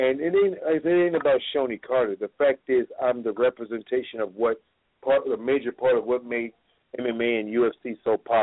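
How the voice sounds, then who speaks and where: A man delivers his words in an ordinary speaking voice, pitched medium with ordinary pitch variation, at a moderate pace. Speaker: martial artist and fight trainer. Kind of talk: casual chat.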